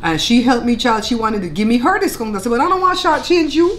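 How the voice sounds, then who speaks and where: A woman speaks at a very fast pace in a Belizean Creole accent. Light background noise sits behind her. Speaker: cooking channel host. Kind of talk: casual chat while eating (mukbang). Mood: animated, chatty. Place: home room.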